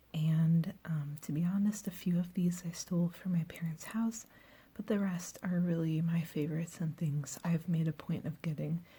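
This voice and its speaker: Soft-spoken and somewhat breathy, a woman talks at a moderate pace with fairly even intonation. Her voice is fairly low in pitch, with a dark, mellow tone. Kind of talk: ASMR soft-spoken show and tell to camera; casual talk to camera.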